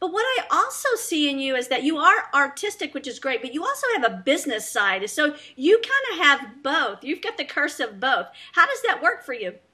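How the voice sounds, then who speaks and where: A woman with a Southern US accent uses a raised, projected voice at a high pitch, with very wide pitch swings. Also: moderate pace. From US South. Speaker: talk show host. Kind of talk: interview.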